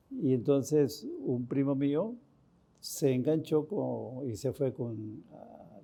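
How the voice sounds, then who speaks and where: There's a dark, mellow tone to this man's voice. His pitch varies in an ordinary way. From Costa Rica, rural village. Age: 80s+. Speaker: priest. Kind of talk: interview testimony. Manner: halting.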